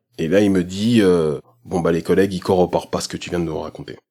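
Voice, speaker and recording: A man with a very deep, low pitch, very fast, with ordinary pitch variation. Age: 30s. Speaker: film director and photographer. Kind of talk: testimony.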